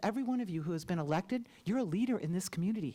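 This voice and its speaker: A woman with an American accent speaks with lively intonation. Her voice is somewhat breathy. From Champaign, Illinois, US Midwest. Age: 60s. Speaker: public commenter at school board meeting. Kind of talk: public comment speech. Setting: school board meeting room. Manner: impassioned.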